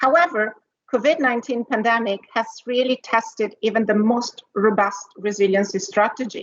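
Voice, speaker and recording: A woman's fairly high voice in an Italian accent, at a moderate pace with ordinary pitch variation. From Italy. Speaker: corporate executive, R&D leader. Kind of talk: conference panel talk with slides.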